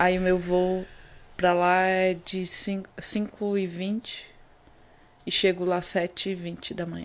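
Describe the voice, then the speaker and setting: A woman talks at a very slow pace, with long, frequent pauses and a monotone, flat intonation. The recording is very clean, with a silent background. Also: medium pitch for a woman. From Pará, northern Brazil (Vigia). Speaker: footballer. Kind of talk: interview.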